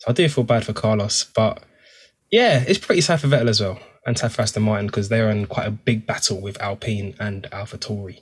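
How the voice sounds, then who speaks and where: In a very clean recording with a silent background, a man talks at a fairly quick pace in a fairly low, somewhat breathy voice with ordinary pitch variation. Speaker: motorsport podcast co-host. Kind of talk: casual banter. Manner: animated.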